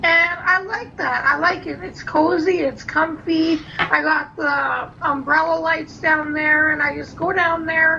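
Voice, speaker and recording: A woman's raised, projected voice at an extremely high pitch, fairly slow with hardly any pauses and fairly even intonation, amid noticeable background noise and audible room echo. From Canada, Vancouver. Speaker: beauty vlogger. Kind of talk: casual chat.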